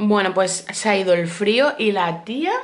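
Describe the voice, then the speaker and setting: A woman speaks with a Spanish accent and an animated tone. Her intonation is lively. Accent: Peninsular Spanish. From Spain. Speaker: vlogger. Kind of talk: casual vlog talk to camera. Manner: chatty, animated. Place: home room. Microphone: phone near.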